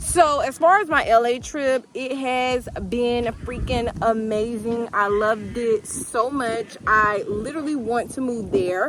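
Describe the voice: Speaking at a fairly slow pace with few pauses, a woman uses a fairly high pitch, a fairly bright tone and ordinary pitch variation.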